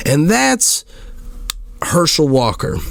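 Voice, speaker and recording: A man's voice with noticeable background noise. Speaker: podcast host. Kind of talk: casual monologue podcast. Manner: halting, repeats words.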